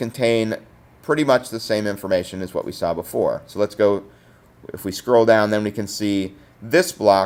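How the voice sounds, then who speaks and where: A man speaks at a fairly low pitch. His pace is fairly slow. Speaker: teacher. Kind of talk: tutorial. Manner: hesitant, many fillers.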